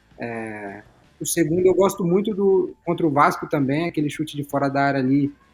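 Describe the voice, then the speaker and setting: A man with a plain, everyday voice, a fairly high pitch and a moderate pace. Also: lively intonation. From Brazil, São Paulo state. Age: 20s. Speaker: professional footballer. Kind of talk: casual chat.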